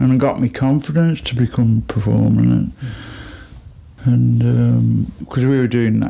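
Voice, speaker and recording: Over noticeable background noise, a man with a Birmingham accent speaks at a fairly slow pace. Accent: Birmingham (Brummie) English. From Birmingham, England. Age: 60s. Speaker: musician. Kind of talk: interview. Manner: casual, rambling storytelling.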